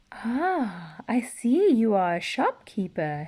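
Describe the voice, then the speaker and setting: Speaking very slowly in a put-on character voice, a woman growls at a fairly high pitch with very wide pitch swings. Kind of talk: children's storybook reading. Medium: read story. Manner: growling.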